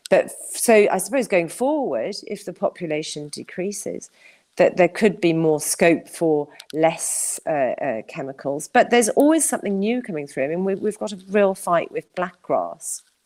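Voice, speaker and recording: Speaking at a moderate pace, a woman uses a medium pitch with very wide pitch swings. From Wales. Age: 60s. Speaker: farming campaigner. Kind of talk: interview.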